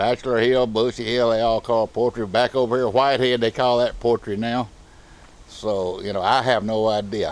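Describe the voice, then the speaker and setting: In a Texan accent, a man speaks at a moderate pace and a medium pitch with monotone, flat intonation. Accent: Southern US, Texan. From rural Texas. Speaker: local resident. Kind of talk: casual interview.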